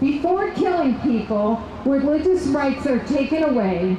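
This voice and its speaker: A woman speaks at a high pitch. Noticeable background noise and audible room echo surround her voice. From US. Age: 60s. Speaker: political activist. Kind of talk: rally speech. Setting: outdoor rally.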